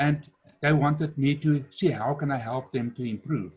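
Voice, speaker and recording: At a moderate pace, a man speaks in a somewhat breathy voice with a fairly high pitch. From South Africa. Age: 60s. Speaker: entrepreneur and business speaker. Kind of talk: webinar talk.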